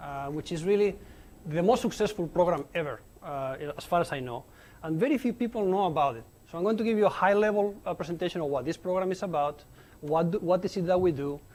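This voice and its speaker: Very fast, lively speech from a high-pitched man in a Spanish accent. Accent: noticeable Spanish accent in English. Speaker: nuclear engineer giving a colloquium talk. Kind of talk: lecture. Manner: animated, informal with many fillers.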